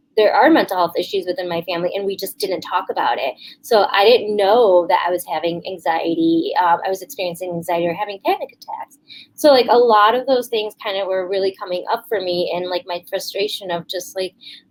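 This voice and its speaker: A woman speaks at a fairly quick pace in an ordinary speaking voice, her medium pitch moving with ordinary variation. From Chicago area, US (born in India). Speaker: clinical psychologist, suicide loss survivor. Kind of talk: testimony.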